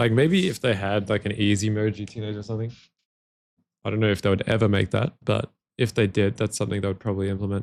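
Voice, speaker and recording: A man speaks at a very fast pace with an Australian accent. The recording is very clean, with a silent background. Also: fairly low pitch for a man, fairly even intonation. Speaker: gaming streamer. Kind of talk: live stream gameplay commentary. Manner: casual, repetitive stammering.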